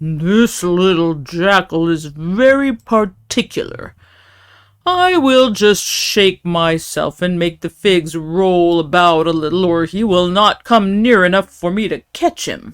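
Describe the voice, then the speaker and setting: Using a put-on character voice, a woman speaks at a fairly slow pace and medium pitch with ordinary pitch variation, on a very clean recording with a silent background. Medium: read story. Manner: grumbling, determined.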